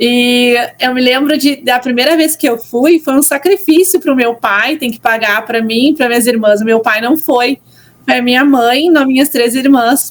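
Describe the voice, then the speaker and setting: A woman speaks with a southern Brazilian accent at a high pitch. Her pitch varies in an ordinary way, and her pace is fairly slow. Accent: gaúcho (southern Brazilian). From southern Brazil, Porto Alegre. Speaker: church content creator. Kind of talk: podcast interview. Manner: casual, many fillers.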